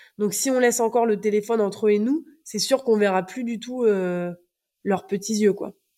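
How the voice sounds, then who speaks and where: A woman's fairly high, dark, mellow voice at a moderate pace with fairly even intonation. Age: 30s. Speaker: teacher. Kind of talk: casual chat. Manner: halting.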